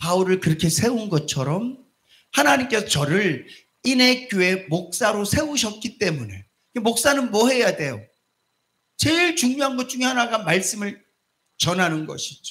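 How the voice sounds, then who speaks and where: Very wide pitch swings in a man's high voice, delivered at a fairly slow pace. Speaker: pastor. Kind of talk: sermon. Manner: not calm or slow; speaks animatedly.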